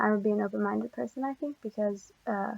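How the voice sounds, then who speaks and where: Soft-spoken woman at medium pitch, fairly even intonation, dry, close sound with no echo. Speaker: college student. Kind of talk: class presentation. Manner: quiet.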